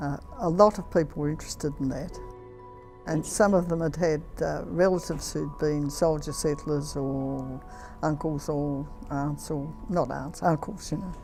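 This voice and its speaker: A woman's very deep, low voice at a moderate pace with ordinary pitch variation, music playing in the background. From Australia, Victoria. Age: 80s+. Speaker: retired nurse. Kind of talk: interview answer.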